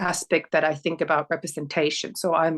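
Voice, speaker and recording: A woman talks at a moderate pace with a Finnish accent. Her recording sounds dry and close, with no echo. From northern Finland, near Oulu. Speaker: sociologist, PhD researcher. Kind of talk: interview. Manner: halting.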